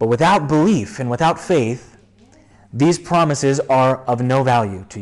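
Lively intonation marks a man with an ordinary speaking voice at a medium pitch. He talks at a moderate pace with big swings in loudness. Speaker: pastor. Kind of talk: sermon. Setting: church.

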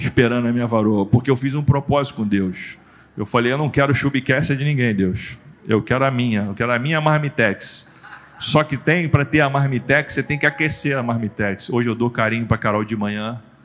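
A man at medium pitch with ordinary pitch variation, at a fairly quick pace. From Brazil, Rio de Janeiro state (Nova Iguaçu). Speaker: pastor and motivational speaker. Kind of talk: testimony. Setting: church stage with audience. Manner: animated.

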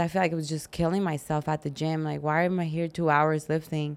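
At a moderate pace, a normal speaking voice with an American accent comes through on a very clean recording with a silent background. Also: woman. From Arizona. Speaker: fitness competitor. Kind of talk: casual interview chat.

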